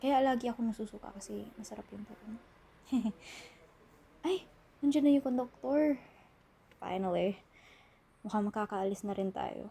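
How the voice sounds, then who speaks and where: Soft-spoken and fairly high-pitched, a woman uses lively intonation with big swings in loudness and long, frequent pauses. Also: moderate pace. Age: 20s. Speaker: college student character. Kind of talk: ASMR roleplay. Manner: soft-spoken, casual.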